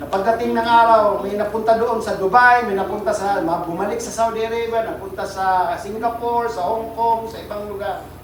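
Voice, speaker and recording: Amid noticeable background noise and audible room echo, a man with a high pitch speaks at a fairly quick pace. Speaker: pastor. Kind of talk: sermon. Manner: sounds like always angry; animated.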